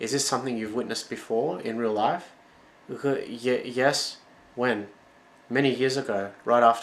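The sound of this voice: The voice reads without forcing. Its intonation is fairly even.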